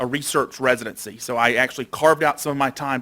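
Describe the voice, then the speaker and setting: In an Alabama accent, a man with a bright, sharp tone talks at a very fast pace. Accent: Southern US (Alabama). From Alabama, US South. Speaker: doctor and researcher. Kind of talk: lecture.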